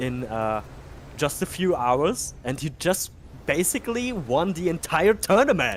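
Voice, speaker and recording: A man's fairly high voice with vocal fry, a German accent, very wide pitch swings and a fairly slow pace. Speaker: game streamer. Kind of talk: casual chat; live commentary. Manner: animated.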